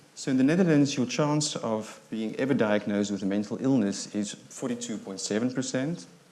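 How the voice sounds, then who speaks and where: A man talks with hardly any pauses in a medium pitch and a dark, mellow tone. Audible room echo surrounds his voice. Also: ordinary pitch variation, fairly quick pace. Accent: South African. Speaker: psychiatrist. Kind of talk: lecture. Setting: stage with audience. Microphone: too quiet at first, volume adjusted.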